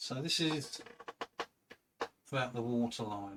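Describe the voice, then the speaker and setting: This soft-spoken man has a medium-pitched voice. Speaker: artist painting live. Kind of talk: live painting tutorial. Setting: livestream with chat.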